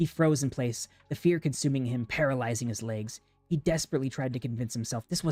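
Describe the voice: Read aloud plainly, with ordinary pitch variation.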